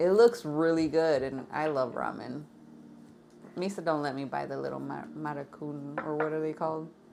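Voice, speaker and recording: A woman's very deep, low voice with a dark, mellow tone at a moderate pace, with audible room echo. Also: ordinary pitch variation. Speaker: tarot reading show co-host. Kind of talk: casual chat. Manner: loud.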